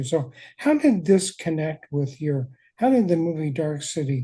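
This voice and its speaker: The man's voice has a dark, mellow tone and a fairly high pitch. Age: 70s. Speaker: podcast host, former college teacher. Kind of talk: casual interview.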